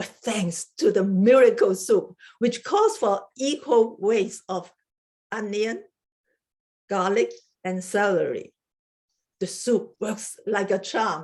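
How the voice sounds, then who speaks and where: In a strong Chinese accent, a woman speaks at a very slow pace. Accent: heavy Chinese. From Hong Kong. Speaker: research chemist giving a club speech. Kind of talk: prepared humorous speech.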